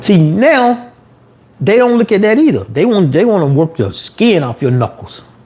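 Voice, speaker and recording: Noticeable background noise sits under a man talking at a moderate pace with very wide pitch swings. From US South, Atlanta. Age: 50s. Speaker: YouTuber. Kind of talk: livestream rant. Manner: casual, conversational.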